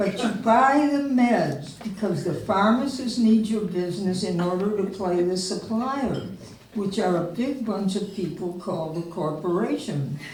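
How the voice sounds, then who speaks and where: A woman at medium pitch talks at a fairly slow pace with ordinary pitch variation. Noticeable background noise and audible room echo fill the recording. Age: 80s. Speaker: memoir reader. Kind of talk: reading aloud.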